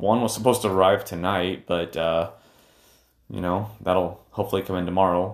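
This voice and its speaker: A man with an unremarkable speaking voice keeps his intonation fairly even and his pace moderate. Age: 30s. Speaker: podcast host and entrepreneur. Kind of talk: solo podcast monologue. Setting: home streaming room.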